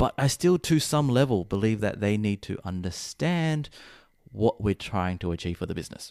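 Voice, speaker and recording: The sound is dry and close, with no echo. A man with a fairly low voice lets his pitch swing very widely. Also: moderate pace, very clean recording, silent background. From Chinese heritage, Cantonese-speaking family. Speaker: SEO consultant and podcast host. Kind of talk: casual chat.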